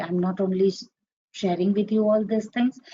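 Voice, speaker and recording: A somewhat breathy woman's voice. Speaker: trading instructor. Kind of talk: online class. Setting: live webinar with screen share.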